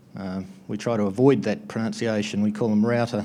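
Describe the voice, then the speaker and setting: In an Australian accent, a man speaks at a moderate pace with a fairly low pitch and a dark, mellow tone. His intonation is fairly even, and the room echo is audible. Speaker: conference presenter, network equipment distributor. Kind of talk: conference talk. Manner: hesitant, many filler words.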